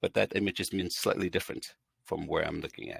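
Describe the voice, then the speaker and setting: A man at a fairly quick pace, with a dry, close sound and no echo. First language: not English; English is third language. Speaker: instructional design expert and educator. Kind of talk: casual interview. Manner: halting, frequent fillers and restarts.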